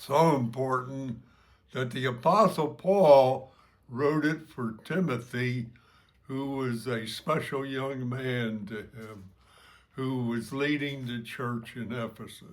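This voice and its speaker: A man with an American accent at a very slow pace, ordinary pitch variation, and big swings in loudness. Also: medium pitch for a man. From New Jersey, US. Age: 90s. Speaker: church member giving testimony. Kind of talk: testimony. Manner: halting.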